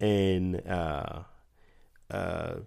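A man speaks with a very deep, low pitch and fairly even intonation on a very clean recording with a silent background. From Guatemala. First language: Spanish. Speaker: church member sharing testimony. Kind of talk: testimony.

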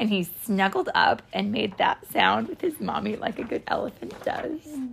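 This is someone reading aloud in a natural voice. The intonation is lively.

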